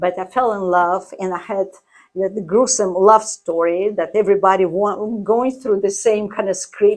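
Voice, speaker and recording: This woman has a Russian accent. Her pitch is medium. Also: moderate pace. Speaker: artist and coach. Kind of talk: interview. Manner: animated.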